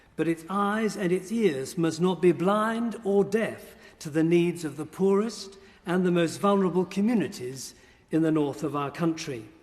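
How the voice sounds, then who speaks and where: This man has a high voice and a southern English accent. He talks at a moderate pace with ordinary pitch variation. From southern England. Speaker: bishop. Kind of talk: formal speech. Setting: parliamentary chamber. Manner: formal.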